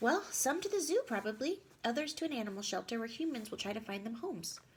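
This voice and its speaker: A female-sounding put-on character voice rattles along at a very fast pace. The pitch is high. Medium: read story. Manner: casual, knowing.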